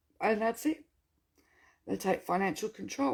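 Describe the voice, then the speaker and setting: Lively intonation marks this woman's fairly high voice with an Australian accent, recorded very cleanly over a silent background. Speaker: welfare rights activist. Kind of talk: casual Q&A monologue. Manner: animated.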